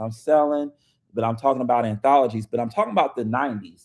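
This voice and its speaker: A man is speaking. His tone is animated. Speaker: author. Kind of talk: live stream chat. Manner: loud; casual, animated.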